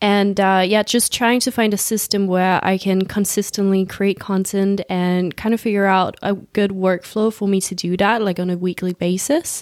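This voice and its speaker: A woman at medium pitch and a moderate pace, monotone and flat, with hardly any pauses. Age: 20s. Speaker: podcast host, social media consultant. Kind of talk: casual chat.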